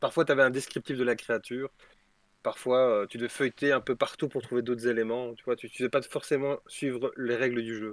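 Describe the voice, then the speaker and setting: A man talks at a fairly quick pace with medium pitch and monotone, flat intonation. His loudness swings widely, and the sound is dry and close with no echo. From Belgium. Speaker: tabletop role-playing game designer. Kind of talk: casual chat.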